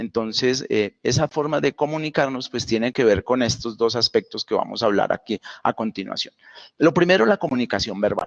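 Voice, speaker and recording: In a Santander Colombian accent, a man talks at a moderate pace and medium pitch with ordinary pitch variation, the sound dry and close with no echo. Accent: Santander Colombian, speaks somewhat abruptly. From Colombia, Santander. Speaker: university lecturer. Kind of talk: online lecture. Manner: many fillers (pues, eh).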